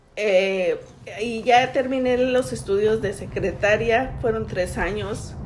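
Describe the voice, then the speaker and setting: A woman speaks at a very slow pace, and audible room echo surrounds her voice. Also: fairly high pitch for a woman, ordinary pitch variation. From Mexico City. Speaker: immigrant mother interviewed by daughter. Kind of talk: family interview. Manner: halting, with hesitations.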